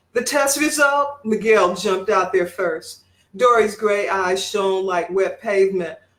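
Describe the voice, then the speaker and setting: A woman's plain, everyday voice at medium pitch, fairly slow, with ordinary pitch variation. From Detroit, Michigan. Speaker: writer and English professor. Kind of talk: fiction reading.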